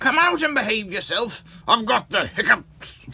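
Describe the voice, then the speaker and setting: A man's put-on character voice, extremely high-pitched, with lively intonation at a moderate pace. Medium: read story.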